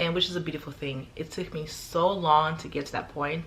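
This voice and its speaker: A woman's very deep, low, somewhat breathy voice with an American accent and fairly even intonation. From Arizona. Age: 20s. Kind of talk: casual talk to camera.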